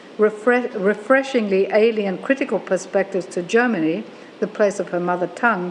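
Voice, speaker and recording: With an Australian accent, a woman speaks at a moderate pace in a fairly high voice with lively intonation. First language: German. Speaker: professor. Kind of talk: lecture. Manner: formal.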